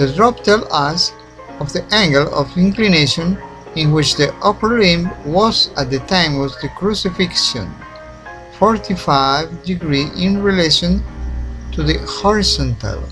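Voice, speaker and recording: With music playing behind him, a man speaks at a fairly slow pace. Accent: non-native. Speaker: independent researcher. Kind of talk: documentary narration.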